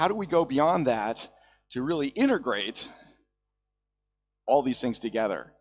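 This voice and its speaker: Music plays behind a man speaking at a fairly quick pace. His pitch is medium and his intonation lively. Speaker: conference speaker. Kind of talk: conference talk. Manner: fast; casual.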